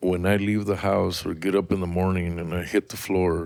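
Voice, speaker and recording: Recorded very cleanly against a silent background, a man speaks with an American accent at a fairly low pitch. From Washington State and rural Mexico. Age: 60s. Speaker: farm manager, interview guest. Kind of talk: interview testimony. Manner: halting.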